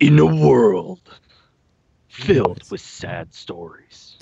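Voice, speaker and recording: Using a put-on character voice, a man speaks very slowly at a very deep, low pitch with very wide pitch swings. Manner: dramatic, solemn.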